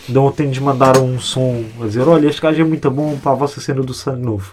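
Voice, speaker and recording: Here a man speaks at a fairly quick pace. His pitch is medium and his intonation fairly even. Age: 20s. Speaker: hip-hop media creator. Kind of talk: casual chat. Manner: halting.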